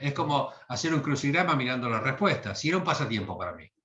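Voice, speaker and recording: Bright and sharp in tone, a man speaks with a Rioplatense accent. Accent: Argentine Rioplatense Spanish. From Argentina, Bahía Blanca. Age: 60s. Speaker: literary translator. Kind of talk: interview. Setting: video call. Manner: hesitant, with fillers.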